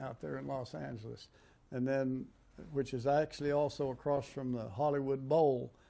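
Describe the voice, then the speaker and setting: At a moderate pace, a man speaks with a fairly high pitch and a dark, mellow tone. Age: 80s+. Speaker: war veteran. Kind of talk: interview storytelling. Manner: halting.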